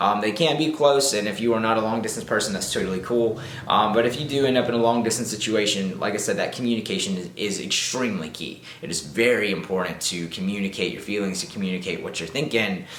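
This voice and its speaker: With an American accent, a man races along at a very fast pace with hardly any pauses, fairly low pitch and ordinary pitch variation, while noticeable background noise runs underneath. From Southern United States. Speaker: YouTuber. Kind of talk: casual talk to camera. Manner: upbeat, chatty.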